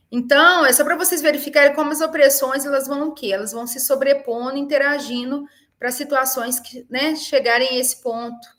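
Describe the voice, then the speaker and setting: At a moderate pace and with hardly any pauses, a woman talks in a high pitch with fairly even intonation, her loudness swinging widely. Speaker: university professor. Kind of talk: webinar lecture. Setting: online webinar.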